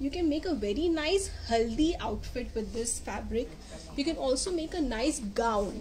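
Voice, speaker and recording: At a moderate pace, a woman talks over noticeable background noise. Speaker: presenter. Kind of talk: product demonstration. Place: shop. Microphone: phone near.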